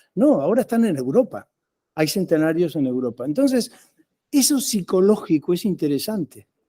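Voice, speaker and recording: On a very clean, dry, close recording with no echo and a silent background, a man with a dark, mellow tone and high pitch swings very widely at a moderate pace. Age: 70s. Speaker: professor. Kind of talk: lecture. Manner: halting.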